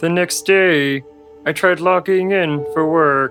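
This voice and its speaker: Over clear background music, a man does a put-on character voice, fairly high-pitched and at a fairly slow pace. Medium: comedy sketch.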